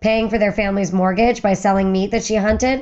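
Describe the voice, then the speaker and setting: This woman's voice sits at a medium pitch, with fairly even intonation. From western Pennsylvania. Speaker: firearms historian, former museum curator. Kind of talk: podcast interview. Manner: fast.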